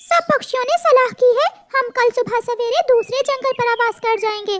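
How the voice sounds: Pitched extremely high, a cartoonish character voice proceeds at a moderate pace.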